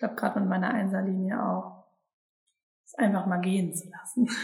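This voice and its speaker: A somewhat breathy woman's voice at a medium pitch. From Sauerland, Germany. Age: 20s. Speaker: human design coaching team member. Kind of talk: casual interview chat. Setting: recorded together in a house by the forest.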